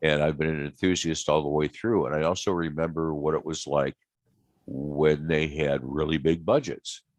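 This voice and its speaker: A man with an American accent speaks at a moderate pace in a very deep, low pitch, his intonation fairly even and the sound dry and close with no echo. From US Midwest, small-town Ohio. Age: 60s. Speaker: aerospace illustrator. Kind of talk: interview conversation. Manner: hesitant, many fillers.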